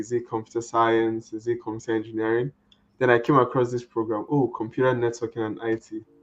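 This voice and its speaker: A man with a Nigerian accent talks at a fairly quick pace and medium pitch. His intonation stays fairly even while music plays in the background. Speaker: network engineer. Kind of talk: interview.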